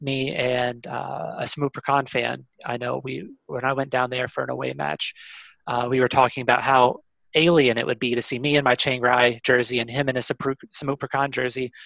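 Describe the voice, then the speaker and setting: With a Kentucky accent, a man speaks at a moderate pace in a medium-pitched voice with a bright, sharp tone and vocal fry. The sound is dry and close with no echo. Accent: American, Kentucky. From Kentucky, US (Louisville). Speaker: football fan. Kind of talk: casual interview.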